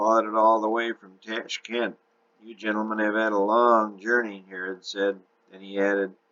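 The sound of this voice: Delivered in an unforced reading voice, the speech keeps fairly even intonation.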